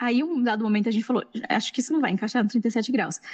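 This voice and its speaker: A woman with an interior São Paulo accent, fairly high in pitch, at a very fast pace. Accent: caipira accent showing. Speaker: science journalist and podcast scriptwriter. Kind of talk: panel discussion. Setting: live-streamed event panel.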